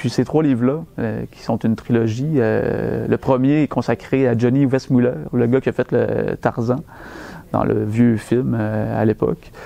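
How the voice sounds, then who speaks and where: In a Quebec accent, the speaker goes at a very slow pace with ordinary pitch variation. The tone is dark and mellow. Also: man. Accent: Québécois French. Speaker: bookseller. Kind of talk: book recommendation talk. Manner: hesitant, conversational.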